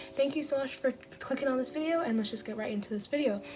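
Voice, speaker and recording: Over music in the background, a woman with an American accent speaks with lively intonation. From Long Beach, California. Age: young. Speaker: YouTuber giving college admissions advice. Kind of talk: casual talk to camera.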